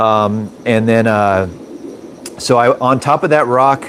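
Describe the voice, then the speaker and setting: Noticeable background noise sits behind this man's voice. He speaks at medium pitch with ordinary pitch variation. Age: 40s. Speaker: aquarium fish breeder and live streamer. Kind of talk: casual live stream chat. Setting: live video stream. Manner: hesitant, many fillers.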